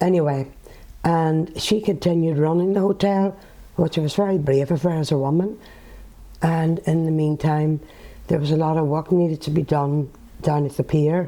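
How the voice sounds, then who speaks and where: In a Northern Irish accent, a woman speaks at a moderate pace with a very deep, low pitch and a dark, mellow tone. Her loudness stays very even, and she leaves long, frequent pauses. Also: fairly even intonation. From Northern Ireland. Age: 70s. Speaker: author and former nurse. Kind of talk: interview answer.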